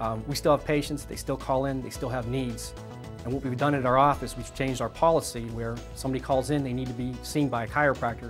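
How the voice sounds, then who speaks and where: A man talking at a very fast pace, with music in the background. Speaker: chiropractor. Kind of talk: testimonial. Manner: hesitant, with filler words.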